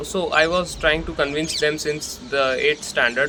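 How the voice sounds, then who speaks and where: Against noticeable background noise, a man speaks at a moderate pace in a fairly high pitch with fairly even intonation. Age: young. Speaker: content creator. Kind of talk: personal reflection monologue. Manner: casual, conversational.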